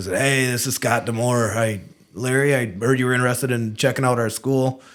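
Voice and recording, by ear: A man puts on a raspy character voice at a medium pitch, with fairly even intonation and a fairly quick pace. The recording is very clean, with a silent background.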